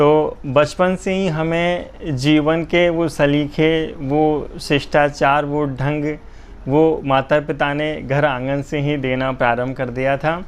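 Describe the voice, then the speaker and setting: Here is a man with an unremarkable speaking voice. His pitch sits fairly high and his intonation is fairly even. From Jhalawar, Rajasthan, India. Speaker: poet. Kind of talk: interview. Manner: formal.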